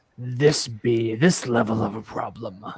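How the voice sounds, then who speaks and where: Using a put-on character voice, a man rumbles along at a fairly slow pace and a medium pitch. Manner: ingratiating.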